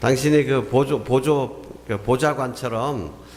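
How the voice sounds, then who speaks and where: Audible room echo and noticeable background noise surround a voice with ordinary pitch variation. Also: man. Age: 60s. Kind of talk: sermon.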